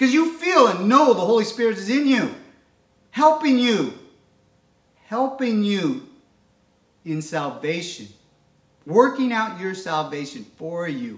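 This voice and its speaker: Fairly slow speech from a man with a high voice, very wide pitch swings and long, frequent pauses, with audible room echo against a quiet background. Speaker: preacher. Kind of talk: sermon. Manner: fervent, animated, preaching with call-and-response 'Amen?'; earnest, devotional, uses prayer cadence. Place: home room. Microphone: camera far.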